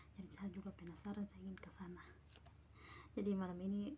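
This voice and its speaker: There is light background noise as a woman speaks at a fairly quick pace. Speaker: vlogger. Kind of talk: casual vlog chat. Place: home room. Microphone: phone near.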